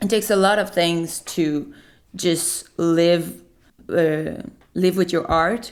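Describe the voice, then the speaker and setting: This woman talks at a very slow pace with a Quebec accent. Her fairly low voice has ordinary pitch variation and very even loudness. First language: French. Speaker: singer-songwriter. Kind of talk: interview. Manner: halting.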